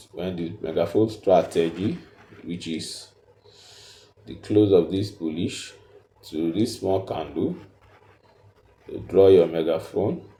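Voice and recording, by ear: Slow and marked by long, frequent pauses, a man's low-pitched voice carries a dark, mellow tone and ordinary pitch variation, with audible room echo.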